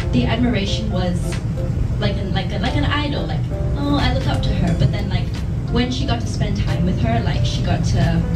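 Clear music sounds in the background while a woman talks at a fairly quick pace. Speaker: actress at press event. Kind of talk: interview answer. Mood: relaxed, laughing at times. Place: hall.

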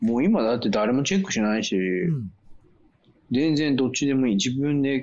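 In a plain, everyday voice, a man at a medium pitch speaks at a moderate pace with lively intonation. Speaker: co-host living abroad. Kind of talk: casual chat. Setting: video call.

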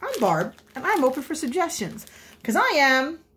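A woman is speaking. She keeps a moderate pace. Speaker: amateur crafter vlogger. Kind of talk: casual vlog chat. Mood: playful, self-deprecating. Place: kitchen. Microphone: phone near.

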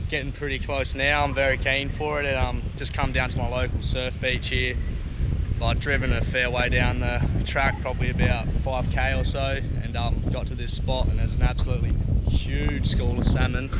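Heavy background noise surrounds a man speaking at a moderate pace, his voice dry with no echo. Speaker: fishing vlogger. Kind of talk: casual vlog chat. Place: open country. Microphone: phone near.

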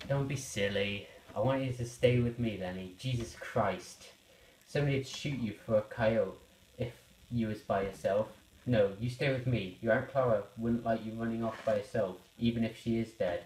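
Putting on a gruff character voice, a man speaks at a moderate pace in a medium pitch with fairly even intonation. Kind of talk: school puppet parody acting. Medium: puppet show. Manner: exasperated, gruff, later tender.

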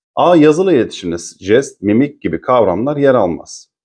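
Over a quiet background, a man with a dark, mellow tone talks at a fairly quick pace with lively intonation. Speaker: teacher / exam-prep YouTuber; teacher, exam-prep YouTuber. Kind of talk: tutorial reading and solving exam questions. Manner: fast-paced. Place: home room. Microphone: webcam.

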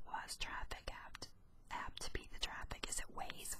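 Whispering at a moderate pace. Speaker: YouTuber. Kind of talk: ASMR whisper reading of ghost stories. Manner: whispered.

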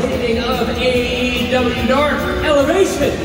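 Loud background noise fills the clip. A man speaks with audible room echo. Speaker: ring announcer. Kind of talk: live wrestling ring announcement to a crowd. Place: stadium. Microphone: pa.

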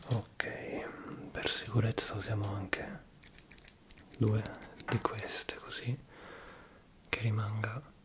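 Against loud background noise, a man talks at a very slow pace with long, frequent pauses. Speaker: ASMR creator playing a repair technician. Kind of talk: soft-spoken role-play. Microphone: studio mic.

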